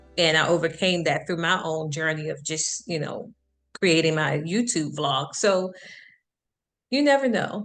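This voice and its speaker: A woman with an American accent and a fairly low pitch, at a fairly slow pace with long, frequent pauses and ordinary pitch variation, over music in the background. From Detroit, US Midwest. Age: 40s. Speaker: life coach. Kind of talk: interview wrap-up. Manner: slow, careful; confident.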